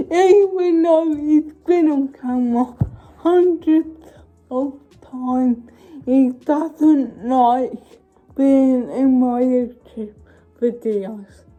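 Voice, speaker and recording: Over music in the background, a woman speaks in a high pitch at a very slow pace. Her pitch varies in an ordinary way, and she takes long, frequent pauses. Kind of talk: casual chat.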